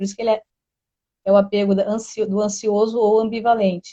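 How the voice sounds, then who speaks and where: A woman speaks with fairly high pitch and a dark, mellow tone in a dry, close sound with no echo. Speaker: therapy presenter. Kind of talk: educational live stream talk. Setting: live stream. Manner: fast.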